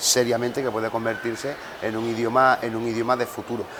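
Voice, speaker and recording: A man talks at a fairly quick pace in a monotone, flat way. Noticeable background noise runs underneath. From Andalusia, Cádiz. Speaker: mayor. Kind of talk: interview. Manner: halting, with fillers and repetitions.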